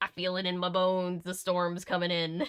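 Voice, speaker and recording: Using a put-on character voice, a woman speaks at a moderate pace and medium pitch with fairly even intonation, her voice shaky and creaky. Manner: ominous.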